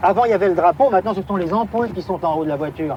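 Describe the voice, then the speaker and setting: Lively intonation marks a man's voice heard over noticeable background noise. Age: 30s. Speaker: taxi driver. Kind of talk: archival TV interview answer. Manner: hesitant, casual.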